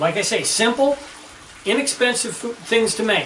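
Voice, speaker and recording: A man uses a raised, projected voice at a moderate pace. Audible room echo and noticeable background noise are present. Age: 60s. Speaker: home cook. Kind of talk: cooking tutorial. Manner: casual, conversational.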